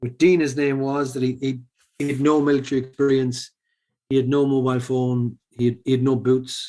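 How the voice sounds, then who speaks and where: Here a man talks at a fairly quick pace in a monotone, flat intonation. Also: medium pitch for a man. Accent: Irish. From Ireland, Sligo. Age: 40s. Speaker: former professional poker player and charity founder. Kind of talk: podcast interview. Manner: hesitant, many fillers.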